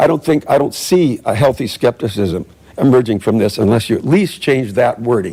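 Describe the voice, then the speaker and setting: A man's dark, mellow voice with lively intonation at a fairly quick pace. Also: medium pitch for a man. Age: 70s. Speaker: public commenter. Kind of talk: public comment at council meeting. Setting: city council meeting. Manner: halting, many restarts.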